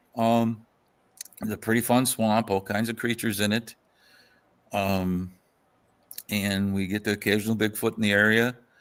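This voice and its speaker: With an American accent, the speaker talks at a moderate pace in a monotone, flat intonation, leaving long, frequent pauses on a very clean recording with a silent background. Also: man, fairly low pitch for a man. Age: 60s. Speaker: folklorist. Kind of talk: casual chat.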